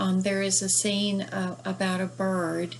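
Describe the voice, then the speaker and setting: A woman's somewhat breathy, medium-pitched voice in a Southern US accent, at a very slow pace. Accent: Southern US, despite northern origin. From northern US. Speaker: book reviewer and author. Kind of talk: book review. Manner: hesitant, many fillers.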